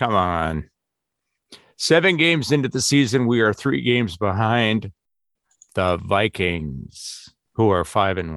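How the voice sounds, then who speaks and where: A man with an Upper Midwest accent, fairly low in pitch and fairly slow, with very wide pitch swings and long, frequent pauses. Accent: Upper Midwest American. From Wisconsin. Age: 50s. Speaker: sports podcast co-host. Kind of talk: casual chat.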